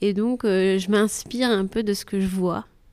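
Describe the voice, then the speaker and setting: A woman talks at a fairly slow pace in a very clean recording with a silent background. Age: 30s. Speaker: teacher interviewee. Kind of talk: interview. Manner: hesitant.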